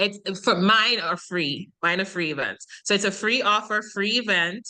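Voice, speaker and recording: This woman has a bright, sharp tone at a medium pitch, with a Jamaican accent. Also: ordinary pitch variation, fairly slow pace. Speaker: online business coach, summit organizer. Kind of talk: podcast interview.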